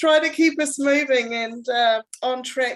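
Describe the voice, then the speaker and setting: A woman talks with a New Zealand accent. Her pitch variation is ordinary. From New Zealand, Palmerston North. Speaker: club manager, interviewer. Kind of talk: interview.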